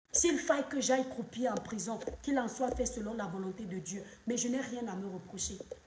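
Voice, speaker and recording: Noticeable background noise sits behind a woman with a fairly high pitch. She speaks at a moderate pace with ordinary pitch variation. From Cameroon. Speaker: social media commentator, live streamer. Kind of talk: live stream monologue, political commentary. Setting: live stream at home, children present. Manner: impassioned.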